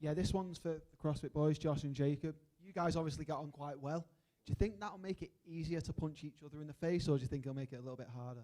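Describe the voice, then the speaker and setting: A man with a Mancunian accent, fairly high in pitch with a dark, mellow tone, speaking at a very fast pace with ordinary pitch variation. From Manchester, England. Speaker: journalist. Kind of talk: press conference question.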